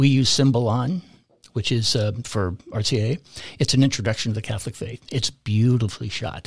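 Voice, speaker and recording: A man with an American accent speaks fairly quickly at a medium pitch, somewhat breathy, with fairly even intonation. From California. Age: 60s. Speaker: parish volunteer and catechetics director. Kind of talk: casual interview conversation.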